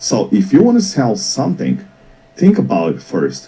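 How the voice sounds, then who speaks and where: With a Portuguese accent, a man speaks at a moderate pace. Noticeable background noise runs underneath. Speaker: business mentor. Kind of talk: talk show interview. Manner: repeats and restarts words.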